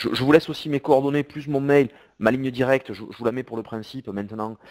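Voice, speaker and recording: A man speaks at a very fast pace with fairly even intonation. The sound is dry and close, with no echo. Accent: southern French. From southern France. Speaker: CEO and e-commerce software presenter. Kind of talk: webinar presentation with Q&A. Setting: online webinar. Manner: hesitant, with repetitions.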